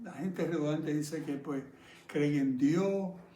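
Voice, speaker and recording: Heard with audible room echo, a man speaks at a fairly high pitch with ordinary pitch variation. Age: 70s. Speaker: pastor. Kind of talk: sermon.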